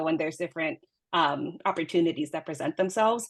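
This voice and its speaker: Speaking at a very fast pace, a woman has a fairly low voice. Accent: American. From New York, Dominican heritage. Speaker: scientist. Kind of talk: panel discussion.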